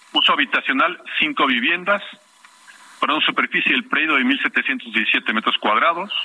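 Amid noticeable background noise, a man speaks at a high pitch and a moderate pace. His pitch swings very widely while his loudness stays very even. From Mexico City. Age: 60s. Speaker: neighborhood activist. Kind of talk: phone interview.

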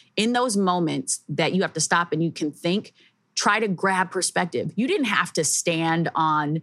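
A woman with a plain, everyday voice speaks at a moderate pace, her fairly low pitch showing ordinary variation. The recording is very clean, with a silent background. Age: 30s. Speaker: podcast host. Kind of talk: casual chat.

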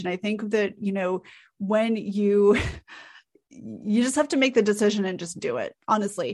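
A plain, everyday voice with ordinary pitch variation keeps a moderate pace over a quiet background. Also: woman. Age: 40s. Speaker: content strategist. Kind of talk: interview.

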